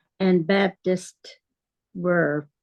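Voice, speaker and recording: A woman's fairly low voice, monotone and flat in intonation, with a dry, close sound and no echo. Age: 90s. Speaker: church member. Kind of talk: video call discussion. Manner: halting.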